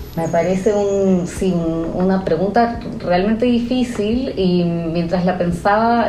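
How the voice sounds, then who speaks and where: A woman with a Chilean accent speaks at a medium pitch with fairly even intonation. Audible room echo and noticeable background noise surround her. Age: 30s. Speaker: novelist. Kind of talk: interview. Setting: at her home. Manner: hesitant, many fillers.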